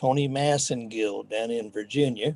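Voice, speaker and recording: A man's dark, mellow tone with fairly even intonation. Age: 70s. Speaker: martial arts instructor. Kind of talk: interview.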